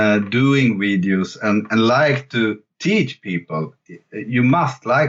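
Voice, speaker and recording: In a Swedish accent, a man speaks very slowly with lively intonation. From Sweden. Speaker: jazz fusion guitarist and online guitar teacher. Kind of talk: interview. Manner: halting, many fillers and repetitions.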